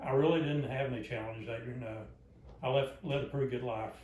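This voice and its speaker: A man with a Southern US accent talks at a fairly quick pace, in a medium pitch with fairly even intonation. Noticeable background noise and audible room echo fill the recording. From US South, Arkansas. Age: 70s. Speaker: grandfather being interviewed. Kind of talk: family interview. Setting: at home, living room.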